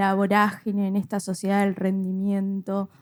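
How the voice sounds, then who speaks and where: A woman with a Rioplatense accent at a fairly slow pace. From Río de la Plata region. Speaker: lawyer.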